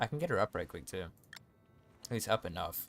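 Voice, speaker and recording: Over music in the background, a man speaks in an animated tone with lively intonation. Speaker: gaming streamer. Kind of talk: live gameplay stream commentary. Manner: fast; casual, animated.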